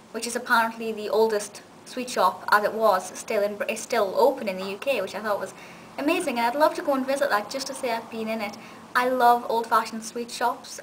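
With ordinary pitch variation, a woman talks at a fairly quick pace over light background noise. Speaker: video reviewer. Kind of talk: casual vlog review. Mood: enthusiastic, warm. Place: home room. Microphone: webcam.

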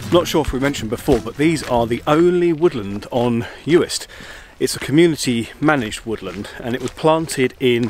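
At a moderate pace and with ordinary pitch variation, a man speaks in a dry sound with no echo over light background noise. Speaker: travel vlogger. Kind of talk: casual vlog chat. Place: forest. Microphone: phone near.

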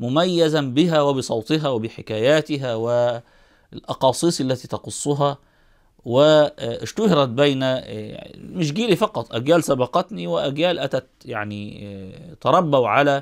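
Against a quiet background, a man with an Egyptian accent talks at a very slow pace, his fairly high pitch carrying lively intonation. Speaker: Islamic scholar commentator. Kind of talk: eulogy talk to camera. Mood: calm, respectful eulogy. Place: home room. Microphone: lapel.

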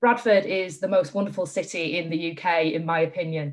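A woman with a Yorkshire accent speaks against a quiet background. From northern England. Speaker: charity chief executive; speaker. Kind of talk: panel discussion. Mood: warm, enthusiastic. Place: home room. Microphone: video call.

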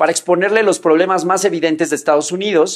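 A man against a quiet background. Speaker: online commentator. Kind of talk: commentary. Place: home room.

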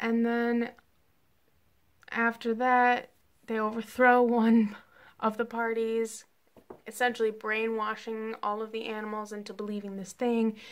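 Long, frequent pauses break up this woman's speech. Her pitch is fairly high and her pace fairly slow.

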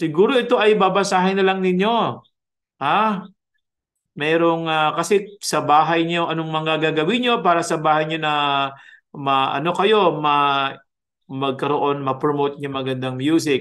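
A man speaks at a fairly slow pace, and the background is quiet. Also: ordinary pitch variation. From Philippines. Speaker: music professor. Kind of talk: lecture. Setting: video call. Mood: warm, conversational teaching. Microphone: webcam.

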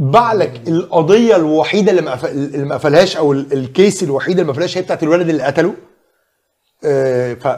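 Here a man speaks at a fairly high pitch. His pace is fairly quick. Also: ordinary pitch variation. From Egypt. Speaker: screenwriter; guest. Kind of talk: casual chat. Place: studio. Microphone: lapel.

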